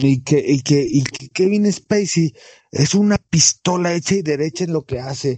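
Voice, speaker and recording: With a Mexican accent, a man talks in a fairly high pitch with lively intonation. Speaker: podcast co-host. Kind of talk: casual chat.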